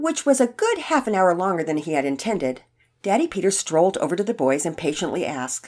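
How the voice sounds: A natural reading voice is heard. Behind it, the background stays quiet.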